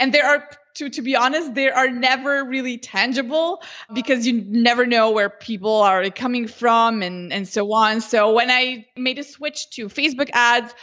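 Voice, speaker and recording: With a Slovenian accent, a woman talks at a moderate pace in a high pitch with ordinary pitch variation. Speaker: Facebook ads consultant. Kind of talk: interview.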